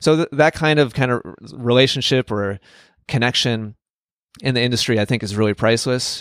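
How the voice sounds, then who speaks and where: A man speaks at a medium pitch with an American accent and ordinary pitch variation. The sound is dry and close with no echo, on a very clean recording with a silent background. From US Midwest, Wisconsin. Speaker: tennis coach and online instructor. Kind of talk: interview.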